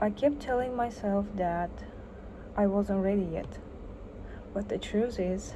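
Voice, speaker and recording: A woman of medium pitch with a non-native accent speaks at a fairly slow pace, her dark, mellow tone somewhat breathy, with ordinary pitch variation, long, frequent pauses and audible room echo. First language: not English. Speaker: artist. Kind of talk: personal vlog.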